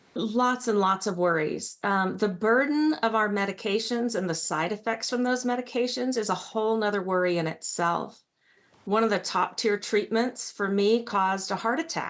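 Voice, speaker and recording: An unremarkable speaking voice at a moderate pace, with very even loudness and ordinary pitch variation. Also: woman. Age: 60s. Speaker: patient panelist. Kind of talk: panel discussion. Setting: virtual meeting.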